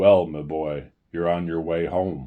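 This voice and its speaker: A man does a gruff, put-on character voice with a very deep, low pitch and monotone, flat intonation. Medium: read story. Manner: hearty, fatherly.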